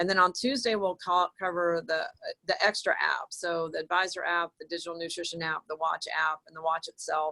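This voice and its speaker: A woman with a normal speaking voice talks at a fairly quick pace, her pitch fairly low and her intonation fairly even. Her loudness swings widely, and the sound is dry and close with no echo. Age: 50s. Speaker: naturopathic doctor and product presenter. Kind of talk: online group call presentation. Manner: casual, filler-heavy.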